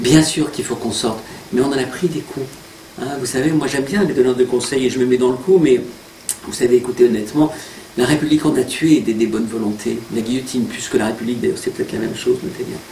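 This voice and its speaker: Talking at a very fast pace, a man with a medium pitch and ordinary pitch variation is heard over noticeable background noise. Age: 60s. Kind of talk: interview.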